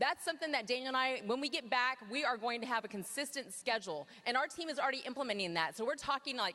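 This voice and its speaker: With an energetic tone and a raised, projected voice, a woman talks at a very fast pace with hardly any pauses, her high pitch carrying lively intonation at very even loudness. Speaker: network marketing team leader. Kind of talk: motivational talk on stage.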